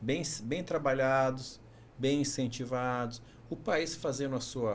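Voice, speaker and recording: A male voice with fairly even intonation carries audible room echo. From Brazil, São Paulo. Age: 50s. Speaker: engineering professor, former university rector. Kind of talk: podcast interview.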